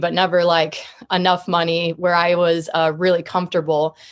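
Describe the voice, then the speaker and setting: This woman talks at a fairly quick pace with an American accent, her pitch fairly low and her intonation fairly even, an unremarkable speaking voice on a very clean recording with a silent background. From US Midwest (Columbia, Missouri). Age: young. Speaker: marketing agency founder. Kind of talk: casual interview.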